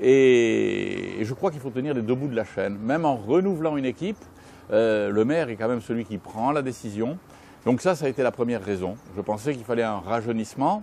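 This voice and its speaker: Lively intonation carries a man's dark, mellow tone at a medium pitch and a fairly quick pace. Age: 60s. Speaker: former mayor. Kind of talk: interview. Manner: hesitant, many fillers.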